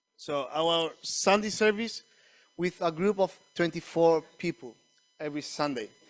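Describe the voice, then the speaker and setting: A man talks at a fairly slow pace in a Spanish accent, with ordinary pitch variation. The sound is dry and close with no echo, a very clean recording with a silent background. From Chile. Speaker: missionary church planter. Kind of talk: church presentation. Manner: halting, with many restarts.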